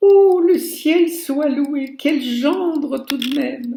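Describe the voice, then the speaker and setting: Putting on a character voice, a woman speaks very slowly at a high pitch with ordinary pitch variation. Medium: read story.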